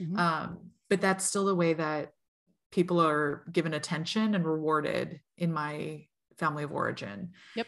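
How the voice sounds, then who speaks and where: A woman speaks in a normal speaking voice at a fairly low pitch and moderate pace, with ordinary pitch variation. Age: 40s. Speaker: tarot reader. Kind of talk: casual chat.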